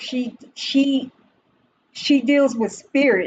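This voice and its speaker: A woman is speaking. Her pace is very slow. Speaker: livestream host doing spirit-box style readings. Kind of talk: casual livestream commentary. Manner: animated.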